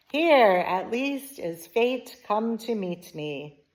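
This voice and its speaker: A woman's put-on character voice, fairly high in pitch and very slow in pace. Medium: read story. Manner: simple, food-obsessed.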